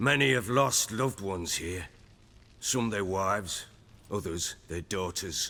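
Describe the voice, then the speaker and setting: Putting on a character voice, a man speaks raspily at a fairly slow pace with a fairly low pitch and ordinary pitch variation. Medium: video game. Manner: blunt, coarse.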